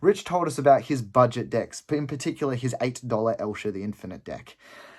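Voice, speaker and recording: Over a very clean recording with a silent background, a man with an Australian accent speaks at a fairly quick pace with ordinary pitch variation. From Adelaide, South Australia. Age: 20s. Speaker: gaming hobbyist auditioning. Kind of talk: audition storytelling.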